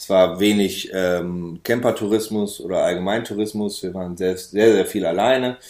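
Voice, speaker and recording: A man's plain, everyday voice at a fairly low pitch with fairly even intonation, big swings in loudness, a moderate pace and hardly any pauses, on a very clean recording with a silent background. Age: 30s. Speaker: van traveller. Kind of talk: casual interview.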